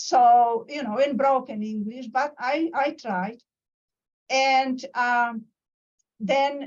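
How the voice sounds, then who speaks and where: A woman with a Polish accent speaks very slowly at a high pitch, with fairly even intonation and long, frequent pauses. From Poland. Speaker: professor. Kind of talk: lecture. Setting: video call. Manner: halting.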